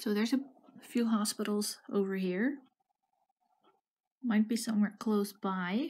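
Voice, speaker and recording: Keeping her loudness very even, a somewhat breathy woman talks at a fairly slow pace with long, frequent pauses. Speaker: geography game streamer. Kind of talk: gameplay commentary, thinking aloud. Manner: musing, hesitant.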